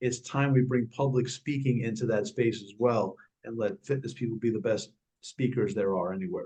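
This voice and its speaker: A man's somewhat breathy, dark, mellow voice in a New York accent, medium in pitch, at a moderate pace with ordinary pitch variation. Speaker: speaking and fitness coach, former Marine. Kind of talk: interview.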